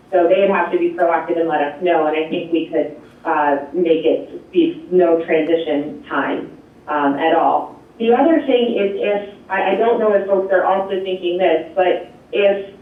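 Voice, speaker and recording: Noticeable background noise and audible room echo surround the recording. A man speaks in a high pitch with ordinary pitch variation. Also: fairly slow pace. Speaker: energy program presenter. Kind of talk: public meeting Q&A. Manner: animated.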